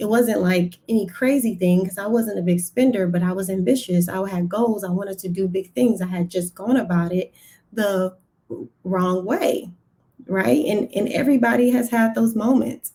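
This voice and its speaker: A woman with an American accent speaks at medium pitch in a somewhat breathy, dark, mellow voice with ordinary pitch variation. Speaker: personal finance strategist. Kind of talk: live stream testimony. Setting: live stream on social media. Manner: deliberately slow.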